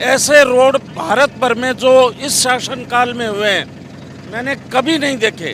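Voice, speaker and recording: A man speaks at an extremely high pitch with fairly even intonation. There is noticeable background noise. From Haryana, India. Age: 60s. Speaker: tourist interviewee. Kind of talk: street interview.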